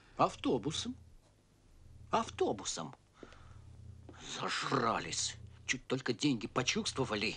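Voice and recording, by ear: Putting on a character voice, a man speaks at a slow pace with a husky, rough edge and a bright, sharp tone, using very wide pitch swings and long, frequent pauses. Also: medium pitch for a man.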